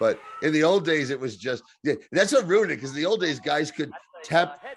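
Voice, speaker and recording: A man with a New Jersey accent talks at a fairly quick pace, with a fairly high pitch and lively intonation. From New Jersey and Kentucky. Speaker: wrestling podcast panelist. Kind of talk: casual chat.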